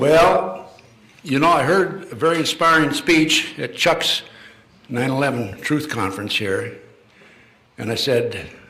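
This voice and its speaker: Lively intonation from a man at a fairly slow pace, with audible room echo. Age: 80s+. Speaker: retired FBI official and conspiracy lecturer. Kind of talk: public lecture. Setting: stage with live audience. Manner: hesitant, many fillers and restarts.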